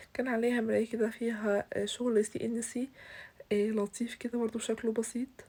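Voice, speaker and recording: Her voice fairly high in pitch with a dark, mellow tone, a woman talks at a moderate pace with monotone, flat intonation. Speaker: bridal home decorator, YouTuber. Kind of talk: home tour vlog. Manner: hesitant, with fillers.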